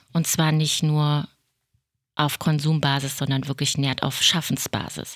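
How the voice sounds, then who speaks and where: A woman speaks at a very deep, low pitch and a fairly slow pace, with monotone, flat intonation. Her loudness stays very even in a very clean recording over a silent background. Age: 50s. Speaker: podcast host, self-help group co-founder. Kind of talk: casual chat.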